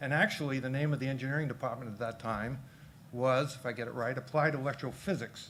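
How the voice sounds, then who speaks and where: This man talks at a very fast pace with a Boston accent. His intonation stays fairly even. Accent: Boston accent, still audible. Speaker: engineer, philanthropist, company founder. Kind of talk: interview.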